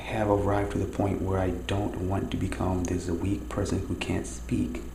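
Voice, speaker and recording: Over noticeable background noise, a man talks with audible room echo. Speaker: video diarist. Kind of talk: personal monologue. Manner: speaking low.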